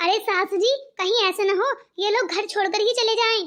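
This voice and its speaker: A woman puts on a cartoonish character voice at an extremely high pitch. She goes at a very fast pace with fairly even intonation. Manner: taunting.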